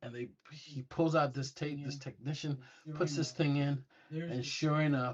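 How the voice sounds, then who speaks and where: A man's voice, somewhat breathy, sits at a fairly high pitch. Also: fairly slow pace. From England. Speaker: retired air force intelligence analyst. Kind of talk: storytelling in casual interview. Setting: studio. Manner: animated.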